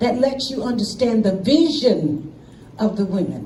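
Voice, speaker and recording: Speaking with an American accent, a woman sounds animated at a fairly slow pace. Noticeable background noise and audible room echo fill the recording. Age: 70s. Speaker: invited speaker at an assembly. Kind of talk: public speech. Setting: stage with audience.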